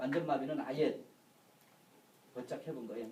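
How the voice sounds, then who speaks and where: Noticeable background noise and audible room echo fill the recording. Over it, a man delivers his words at a fairly quick pace. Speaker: insurance lecturer. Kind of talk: lecture. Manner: fast.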